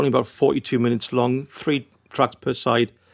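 Delivered in a monotone, flat intonation, a man's medium-pitched voice moves at a moderate pace. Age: 60s. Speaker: electronic musician and record label owner. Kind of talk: interview. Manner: hesitant, many fillers.

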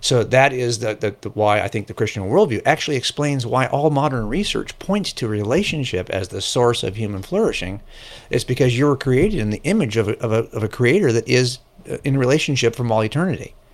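At a fairly quick pace, a man with a normal speaking voice talks at a medium pitch and with lively intonation. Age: 60s. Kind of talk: casual interview.

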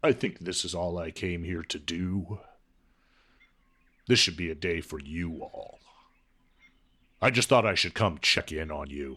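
In a put-on character voice, a man speaks at a moderate pace with a very deep, low pitch, ordinary pitch variation and big swings in loudness. Long, frequent pauses break up his speech on a very clean recording with a silent background. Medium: audio drama. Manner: calm, unhurried.

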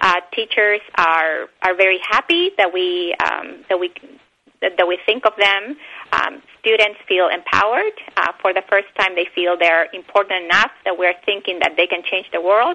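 Speaking with a Spanish accent, a woman keeps a medium pitch, fairly even intonation and a moderate pace. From Bolivia and Argentina. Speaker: animal rights educator. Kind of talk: interview.

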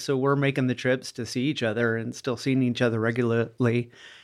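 A normal speaking voice with fairly even intonation, captured in a very clean recording against a silent background. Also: man. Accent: American. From US Midwest, small-town Iowa. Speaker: mental health facility owner. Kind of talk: casual interview.

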